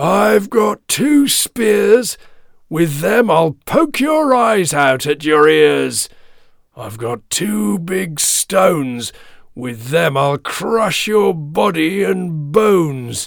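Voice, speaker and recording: Using a put-on character voice, a man talks at a very slow pace with a fairly high pitch. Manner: defiant, threatening.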